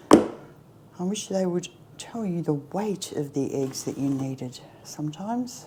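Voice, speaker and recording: Talking at a fairly slow pace, the woman lets her pitch swing very widely. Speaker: home cook. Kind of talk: cooking tutorial. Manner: casual.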